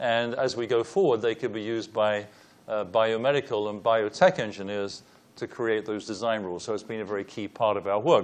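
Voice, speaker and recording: A man with a British accent talks at a fairly quick pace in a medium-pitched voice. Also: ordinary pitch variation. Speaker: engineering professor, panelist. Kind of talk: panel presentation with slides.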